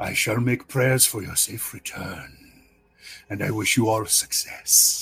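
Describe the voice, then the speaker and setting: A man uses a put-on character voice at a medium pitch. His delivery is raspy and fairly slow. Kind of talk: fantasy roleplay voice. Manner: smooth, formal, courteous.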